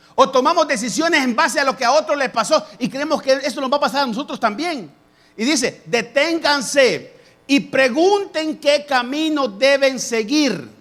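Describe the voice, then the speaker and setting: An extremely high-pitched male voice with ordinary pitch variation. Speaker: pastor. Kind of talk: sermon.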